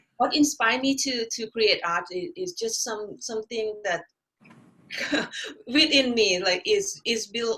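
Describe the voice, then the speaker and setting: A woman with a Thai accent speaks fairly slowly in a fairly high voice. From Thailand. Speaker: artist and art instructor. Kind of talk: interview. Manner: halting.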